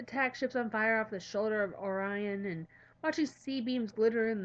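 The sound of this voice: This is an unforced reading voice. The speaker reads in it throughout.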